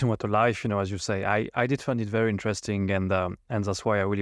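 With a French accent, a man speaks at a fairly low pitch in a monotone, flat intonation, captured dry and close with no echo in a very clean recording with a silent background. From France. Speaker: podcast host. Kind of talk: interview, formal and polite.

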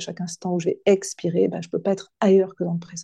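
Dry and close with no echo, a woman's fairly low, somewhat breathy voice with a dark, mellow tone moves at a fairly quick pace. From western France, near Nantes. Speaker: coach and hypnotherapist. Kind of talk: podcast interview. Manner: halting, many hesitations.

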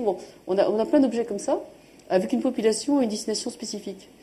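A woman speaks very fast with a dark, mellow tone. Her pitch moves in an ordinary way. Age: 40s. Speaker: entrepreneur and sustainability NGO founder. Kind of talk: live panel interview.

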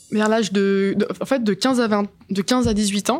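A woman at a very slow pace, fairly even intonation, on a very clean recording with a silent background. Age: 20s. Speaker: student who stutters. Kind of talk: personal testimony. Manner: stuttering, many hesitations.

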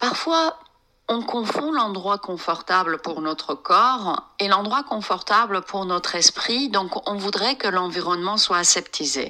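Lively intonation rises and falls across speech delivered at a very slow pace. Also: woman, medium pitch for a woman. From France, of Iranian descent. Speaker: psychotherapist and meditation teacher. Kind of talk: interview. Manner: halting, with many hesitations.

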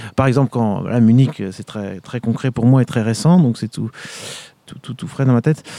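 At a moderate pace, a man talks at a medium pitch with ordinary pitch variation and big swings in loudness. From France, Vendée. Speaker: orchestral trumpeter and conservatory professor. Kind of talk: interview. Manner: hesitant, many fillers.

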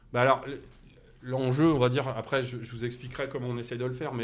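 A man's voice with audible room echo. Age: 50s. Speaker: company CEO. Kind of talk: interview conversation. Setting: in person at the company site. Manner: halting, many repetitions and fillers.

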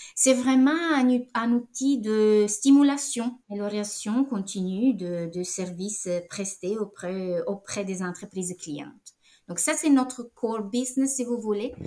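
With an Italian accent, a woman speaks at a fairly high pitch and a very slow pace. Her intonation is lively. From Italy. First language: Italian (speaking French). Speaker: director of a European business network. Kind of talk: interview. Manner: halting, many repetitions.

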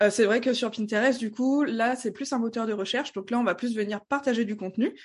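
Against a quiet background, a woman talks in an unremarkable speaking voice, fairly high in pitch, with ordinary pitch variation. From France, Strasbourg (Alsace). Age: 20s. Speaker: Pinterest marketing trainer. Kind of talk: podcast interview.

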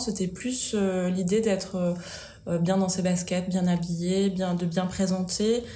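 Very slowly, a woman speaks at medium pitch in a monotone, flat delivery. Noticeable background noise and audible room echo surround her. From Auvergne, France. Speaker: style and decor blogger. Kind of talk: casual chat. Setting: office. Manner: hesitant, many fillers.

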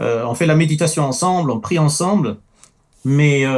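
At a fairly slow pace, a man speaks in a non-native accent. His fairly high voice has ordinary pitch variation. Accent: noticeable foreign. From France, early childhood in the Middle East. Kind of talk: testimony in a talk show.

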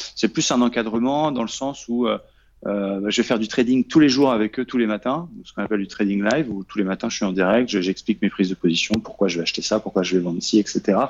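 The speech comes at a very fast pace with ordinary pitch variation, in a dry, close sound with no echo. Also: man, fairly low pitch for a man. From Normandy, France. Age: 30s. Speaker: trader and trading coach. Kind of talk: interview. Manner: halting, many fillers and repetitions.

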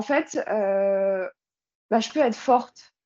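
The voice belongs to a woman. She uses ordinary pitch variation. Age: 20s. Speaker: online fitness coach. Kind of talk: casual chat. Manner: halting.

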